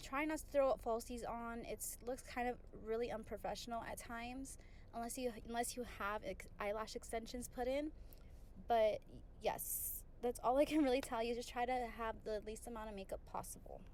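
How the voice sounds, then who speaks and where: A woman's high voice, at a moderate pace with fairly even intonation, carries audible room echo. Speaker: beauty vlogger and surgical tech. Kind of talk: casual tutorial voiceover. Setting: home bathroom. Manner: casual, conversational. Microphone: poor audio quality at the beginning.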